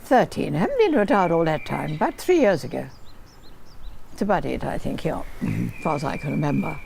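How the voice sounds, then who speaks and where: A woman talks at a fairly quick pace. There is noticeable background noise. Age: 80s+. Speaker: war veteran. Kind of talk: interview answer.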